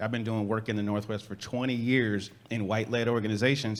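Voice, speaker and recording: With a normal speaking voice, a man talks at a medium pitch, and his pitch varies in an ordinary way. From Chicago, South Side. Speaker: urban farmer and organizer. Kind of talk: panel discussion.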